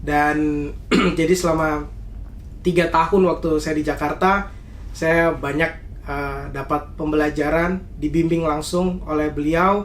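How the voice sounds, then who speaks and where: A man with a Papuan accent speaks very slowly in a flat monotone at a fairly high pitch, with audible room echo and noticeable background noise. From Indonesia, Papua (Jayapura) and Central Java (Salatiga). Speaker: university student. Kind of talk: interview. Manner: hesitant, many fillers.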